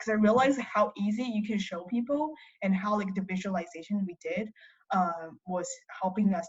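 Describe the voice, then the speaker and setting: Speaking with a Chinese accent, a woman talks at a moderate pace in a medium pitch with ordinary pitch variation. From China. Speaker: college student. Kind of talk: interview.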